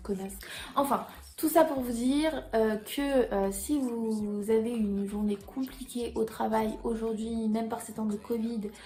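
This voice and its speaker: A woman's voice sits fairly high in pitch, with a dark, mellow tone. It is somewhat breathy. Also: ordinary pitch variation, fairly slow pace. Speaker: YouTuber. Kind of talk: storytelling vlog.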